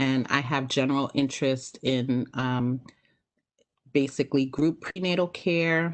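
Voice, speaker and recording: A woman with an American accent, very deep and low in pitch, monotone and flat, at a fairly slow pace against a quiet background. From Brooklyn, New York. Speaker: physician. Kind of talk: panel talk. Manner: halting, many fillers.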